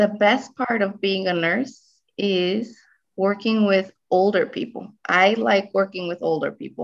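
In a quiet background, a woman speaks at medium pitch and a fairly slow pace with ordinary pitch variation. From Guatemala, raised in US from age 7. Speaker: registered nurse; interviewee. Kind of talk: interview. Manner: hesitant, many fillers. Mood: warm, slightly emotional. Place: home room. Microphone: video call.

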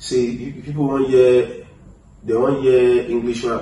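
A man speaks with a Nigerian accent. Light background noise and audible room echo can be heard. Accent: Nigerian (Yoruba) English. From Nigeria, Lagos. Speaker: rapper. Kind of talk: interview. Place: home room.

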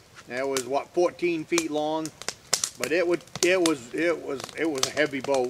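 A man talks at a fairly slow pace in a relaxed tone with fairly even intonation, with noticeable background noise around him. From northern Maine. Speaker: off-grid woodsman and video host. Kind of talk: casual how-to talk, then folksy anecdote storytelling. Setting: outdoors at a log cabin, filmed on location. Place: forest.

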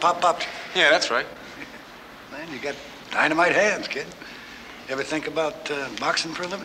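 A fairly quick pace with fairly even intonation, over noticeable background noise. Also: man. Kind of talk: scripted film dialogue. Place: gym.

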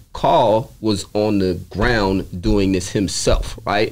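A man with a New York accent speaks with vocal fry. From New York, the Bronx. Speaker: podcast guest, apparel sales rep. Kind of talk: casual interview. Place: shop. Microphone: studio mic.

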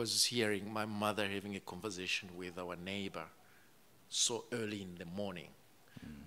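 A man with a fairly low pitch and a bright, sharp tone speaks at a moderate pace with fairly even intonation and long, frequent pauses, over light background noise. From Rwanda. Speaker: author. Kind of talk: live book event interview. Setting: stage with audience. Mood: calm, reflective. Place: stage. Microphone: studio mic.

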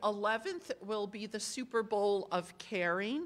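A woman with a bright, sharp tone speaks at a very slow pace. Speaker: pastor. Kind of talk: church announcements. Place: church.

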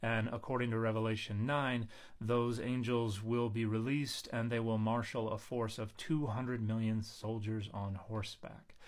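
A man talks with monotone, flat intonation over a quiet background. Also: moderate pace, hardly any pauses. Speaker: biblical scholar commentator. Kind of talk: commentary. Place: home room. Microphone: phone near.

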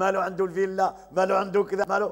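A man's high-pitched voice, very fast, in a monotone, flat delivery. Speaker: religious teacher. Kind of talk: religious lesson. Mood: cheerful, smiling. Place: home room. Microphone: lapel.

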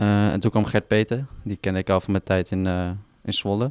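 Over a quiet background, a man talks at a moderate pace and fairly low pitch, the sound dry with no echo. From Netherlands, Overijssel (Dedemsvaart); Overijssel. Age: 20s. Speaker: footballer. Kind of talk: interview. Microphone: handheld.

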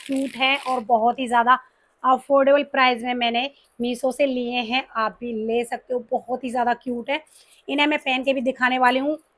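A woman's high-pitched voice with monotone, flat intonation against a quiet background. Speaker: beauty vlogger. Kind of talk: casual haul vlog chat. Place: home room. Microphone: lapel.

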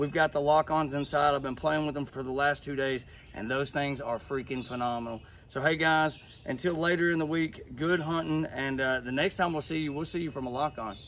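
Against light background noise, a man talks at a fairly quick pace with fairly even intonation. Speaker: hunting gear reviewer. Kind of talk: product review tutorial. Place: open country.

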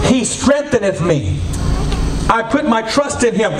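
With light background noise and audible room echo, a man speaks at a moderate pace in a high pitch for a man, using lively intonation. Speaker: preacher. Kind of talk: sermon. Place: church.

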